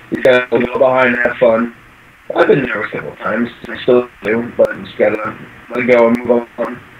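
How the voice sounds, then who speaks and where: Against noticeable background noise, a man with a medium pitch speaks at a fairly quick pace in a monotone, flat intonation, with big swings in loudness. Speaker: brony video creator. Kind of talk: interview. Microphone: faint echo.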